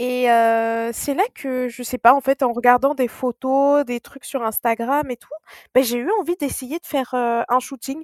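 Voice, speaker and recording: A woman with a high voice speaks fairly slowly and fairly evenly, her loudness swinging widely, in a dry, close recording without echo. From Mauritian heritage. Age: 20s. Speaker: psychologist and funeral advisor. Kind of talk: casual interview. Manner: halting, with repetitions.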